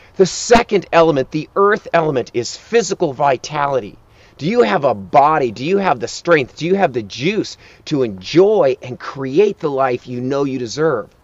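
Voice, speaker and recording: Dry sound with no echo carries a man's voice. He talks at a moderate pace with very wide pitch swings. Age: 50s. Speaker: life coach. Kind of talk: motivational talk; sales pitch. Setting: outdoors. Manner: urgent. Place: open country.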